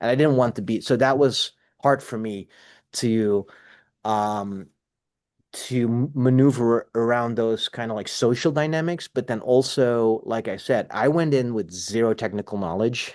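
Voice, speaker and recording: Against a quiet background, a man with a Dutch accent talks at a fairly slow pace and medium pitch, with ordinary pitch variation. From Netherlands (south, near Germany and Belgium). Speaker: cinematographer and film teacher. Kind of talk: interview. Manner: animated; clear.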